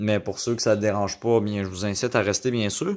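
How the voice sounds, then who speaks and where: Moderate pace from a man with a Quebec accent, medium-pitched, on a very clean recording with a silent background. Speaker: YouTuber, DIY audio hobbyist. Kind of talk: casual video intro. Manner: halting, many fillers.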